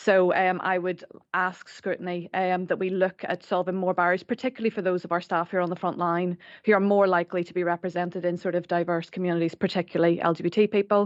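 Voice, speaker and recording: Speaking very fast in an Irish accent, a woman uses a monotone, flat intonation at medium pitch, with a quiet background and a dry, close sound with no echo. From Ireland. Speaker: staff network representative. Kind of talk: formal committee presentation. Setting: council committee meeting room.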